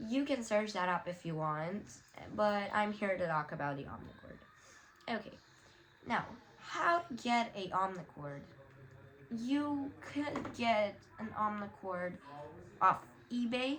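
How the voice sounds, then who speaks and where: With noticeable background noise behind her, a woman speaks fairly slowly at a medium pitch, swinging very widely in pitch and leaving long, frequent pauses. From Romania. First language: Romanian. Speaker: YouTuber. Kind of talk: tutorial. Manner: casual, many fillers.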